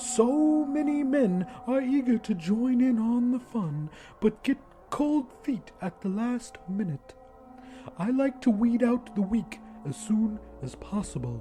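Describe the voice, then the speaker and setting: A put-on character voice speaks at a fairly high pitch. It moves at a fairly slow pace over clear background noise. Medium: read story. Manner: smug, composed, invasive.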